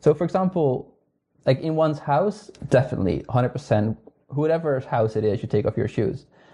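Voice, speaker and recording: A man speaks with a Dutch accent at a fairly quick pace. His voice is somewhat breathy, with ordinary pitch variation. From northern Netherlands. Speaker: astronomer. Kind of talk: casual interview chat. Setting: remote call from home.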